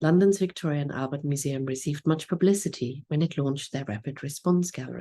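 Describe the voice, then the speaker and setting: A woman with a German accent, a very deep, low voice and a dark, mellow tone, somewhat breathy, talking very fast with ordinary pitch variation against a quiet background. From Germany. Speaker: museum curator. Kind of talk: conference lecture. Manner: formal.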